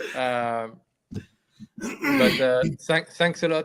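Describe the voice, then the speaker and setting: A man speaks at a fairly high pitch with a French accent. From France. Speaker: business owner. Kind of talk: livestream remarks. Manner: halting.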